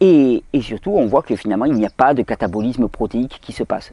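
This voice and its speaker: With a dry, close sound and no echo, a man with a southern French accent and a medium pitch speaks at a fairly quick pace in a dark, mellow tone. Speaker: health video host. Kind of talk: video Q&A monologue.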